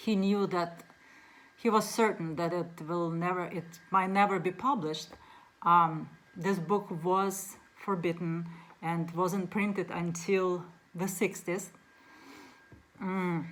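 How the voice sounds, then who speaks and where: With long, frequent pauses, a woman speaks very slowly and with fairly even intonation. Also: medium pitch for a woman. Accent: Russian. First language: Russian. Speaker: book reviewer. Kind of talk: casual book talk to camera. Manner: halting, many fillers.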